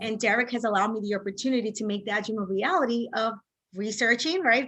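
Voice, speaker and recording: A woman speaks in a fairly high voice with a Spanish accent. Her intonation stays fairly even. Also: quiet background. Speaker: real estate agent and instructor. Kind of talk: interview.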